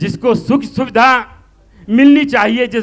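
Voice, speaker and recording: A man talks at an extremely high pitch. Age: 70s. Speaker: doctor and political supporter at a rally. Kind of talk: political speech.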